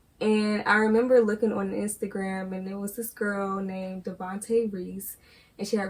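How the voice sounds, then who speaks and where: In a somewhat breathy voice of medium pitch, a woman speaks at a moderate pace with monotone, flat intonation. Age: young. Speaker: college student, granddaughter of the host. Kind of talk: interview.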